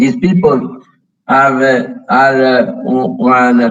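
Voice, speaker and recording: A man's medium-pitched voice with a Tuscan accent, lively intonation and audible room echo. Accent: Tuscan Italian accent in English. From Tuscany, Italy. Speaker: company founder and sponsor. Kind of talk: conference welcome address. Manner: halting, many fillers.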